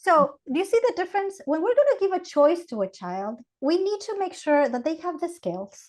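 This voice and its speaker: A woman's extremely high pitch with very wide pitch swings, moderate pace and hardly any pauses. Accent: Ecuadorian. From Ecuador. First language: Spanish. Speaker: Montessori educator. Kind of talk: podcast interview.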